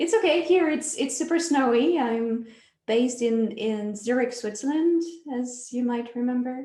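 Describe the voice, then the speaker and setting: A woman's high voice with a slight French accent, ordinary pitch variation and audible room echo. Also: moderate pace. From France. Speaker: dance project director. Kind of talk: interview.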